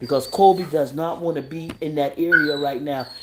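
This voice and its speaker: A man with a high voice talks at a moderate pace with ordinary pitch variation over noticeable background noise. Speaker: live stream host. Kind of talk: casual chat.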